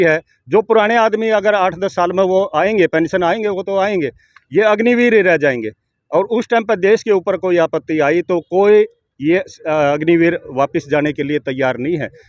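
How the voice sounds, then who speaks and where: A man talks at a high pitch with ordinary pitch variation. The sound is dry and close, with no echo. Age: 60s. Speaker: retired soldier and long-distance cyclist. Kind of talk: interview.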